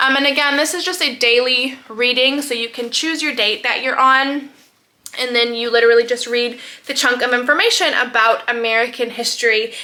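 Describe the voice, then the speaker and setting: Raising and projecting her high-pitched voice, a woman speaks at a fairly quick pace with fairly even intonation over noticeable background noise. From French Polynesia (Tahiti). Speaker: homeschooling mom and naturopath vlogger. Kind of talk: casual vlog talk to camera. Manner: hesitant, many fillers.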